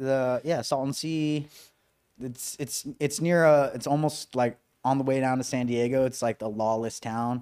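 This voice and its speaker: Speaking at a fairly slow pace, a man with a medium-pitched voice and fairly even intonation has a plain, everyday voice. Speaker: podcast co-host. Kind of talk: casual podcast chat.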